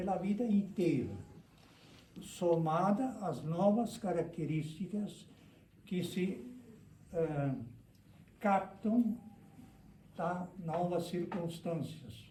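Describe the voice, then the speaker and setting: Heard with audible room echo, a man with a high pitch talks very slowly, with ordinary pitch variation and long, frequent pauses. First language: German (speaking Portuguese). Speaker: lecturer on immigration history. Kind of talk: lecture. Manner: halting.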